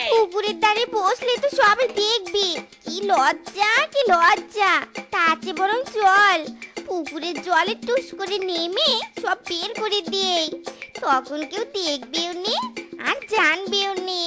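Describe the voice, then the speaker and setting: Faint music plays behind a cartoonish character voice that sounds female, pitched extremely high and delivered at a fairly slow pace. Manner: childish, whiny.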